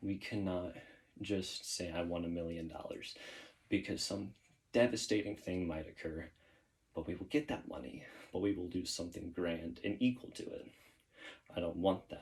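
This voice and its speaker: The voice is somewhat breathy and rumbling, moving at a moderate pace with ordinary pitch variation. Long pauses are frequent. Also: man, very deep, low pitch for a man. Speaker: YouTuber doing push-up workout. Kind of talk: casual monologue while exercising.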